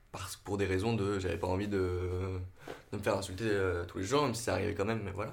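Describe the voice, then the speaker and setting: Monotone, flat delivery from a man at fairly low pitch, with audible room echo. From Normandy, France. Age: 20s. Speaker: drama student and actor. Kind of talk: casual interview. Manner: halting.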